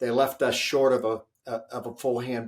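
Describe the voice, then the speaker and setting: A man with a plain, everyday voice at medium pitch, on a very clean recording with a silent background. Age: 60s. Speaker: leadership author and speaker. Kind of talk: interview.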